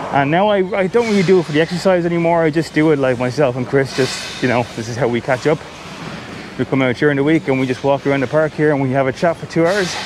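A man's very fast speech with ordinary pitch variation, a dry sound with no echo, and noticeable background noise. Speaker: vlogger. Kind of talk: casual vlog chat. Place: open country. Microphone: phone near.

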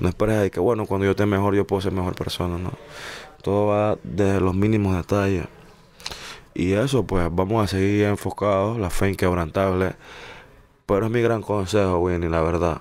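A man's fairly low voice at a moderate pace, with fairly even intonation and long, frequent pauses. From Panama, San Miguelito. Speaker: singer. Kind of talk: interview.

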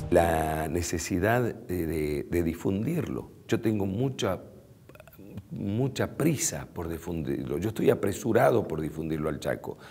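A man speaks fairly slowly with a very deep, low pitch. His intonation is lively. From Bolivian Chaco. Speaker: radio announcer and TV presenter. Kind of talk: interview answer. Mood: warm, reflective. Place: studio. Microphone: lapel.

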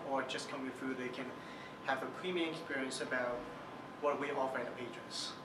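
Noticeable background noise sits under the recording. A man talks at a fairly quick pace. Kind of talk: interview answer.

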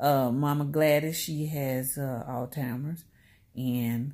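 Very slowly, a woman speaks in a very deep, low voice with ordinary pitch variation. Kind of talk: casual vlog chat. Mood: earnest, reflective. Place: home room. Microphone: phone near.

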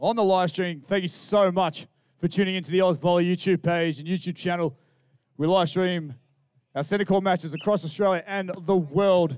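Against a quiet background, a man talks at a moderate pace in a high pitch. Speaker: event commentator. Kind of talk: commentary. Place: beach.

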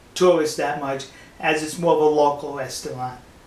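A man's voice comes with audible room echo. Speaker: travel vlogger. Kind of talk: casual vlog storytelling. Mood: amused, self-deprecating. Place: home room.

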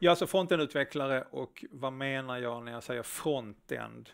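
A man speaks in a Scanian accent at a fairly slow pace. The background is quiet. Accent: Scanian (Skåne) dialect. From Skåne, southern Sweden. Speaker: front-end developer, conference speaker; presenter. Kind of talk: conference talk. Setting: stage with live audience, streamed. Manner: hesitant, many filler sounds. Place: stage.

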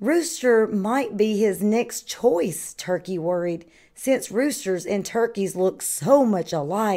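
The voice sounds natural. It is reading aloud.

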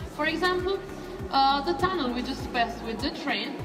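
Clear music plays in the background. Over it, a woman speaks at a moderate pace. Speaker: cave tour guide. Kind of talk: guided tour explanation. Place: tunnel cave. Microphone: camera far.

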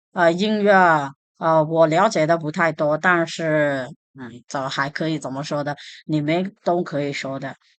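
A woman speaks at a fairly slow pace in a very deep, low voice. The background is quiet. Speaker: language teacher. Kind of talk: tutorial.

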